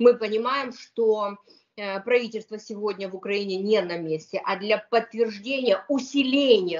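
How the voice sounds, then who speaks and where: Ordinary pitch variation marks a woman's fairly slow speech. The background is quiet. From Ukraine. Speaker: lawyer. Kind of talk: interview. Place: home room. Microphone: video call.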